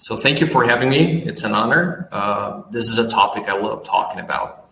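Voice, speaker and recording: Speaking with a Portuguese accent, a man uses lively intonation at a medium pitch and a moderate pace. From Brazil. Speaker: business owner. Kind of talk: interview.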